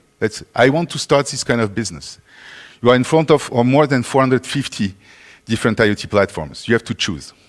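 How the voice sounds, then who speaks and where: A man with a French accent talks in a medium pitch with lively intonation. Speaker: conference speaker. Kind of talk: conference talk.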